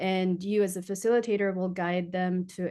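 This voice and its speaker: In a Filipino accent, a woman speaks at a moderate pace and medium pitch, with a dark, mellow tone, fairly even intonation and a quiet background. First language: Tagalog. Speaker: design researcher and futurist speaker. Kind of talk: webinar presentation. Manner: hesitant, many fillers.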